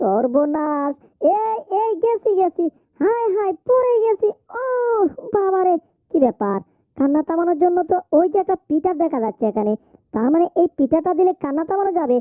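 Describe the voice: An extremely high-pitched cartoonish character voice talks at a moderate pace.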